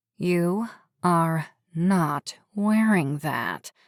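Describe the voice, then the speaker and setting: A woman speaks in an ordinary speaking voice, with fairly low pitch and ordinary pitch variation. The recording is very clean, with a silent background and a dry, close sound with no echo. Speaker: audiobook narrator. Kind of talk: audiobook comedic fiction narration. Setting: home studio.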